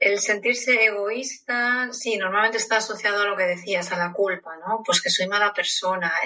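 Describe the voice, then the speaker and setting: Over noticeable background noise, a woman speaks at a moderate pace and medium pitch, her intonation fairly even. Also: hardly any pauses. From Spain. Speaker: psychologist. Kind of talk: interview.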